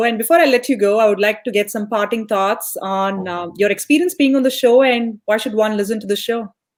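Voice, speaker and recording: A woman's plain, everyday voice, fairly high in pitch, at a fairly quick pace with ordinary pitch variation and hardly any pauses. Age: young. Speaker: podcast host. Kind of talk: interview.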